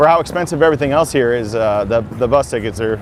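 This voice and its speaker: Over noticeable background noise, a man with an American accent talks at a very fast pace and a medium pitch. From South Dakota, US Midwest. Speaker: music teacher and YouTuber. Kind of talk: casual walking livestream. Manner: casual.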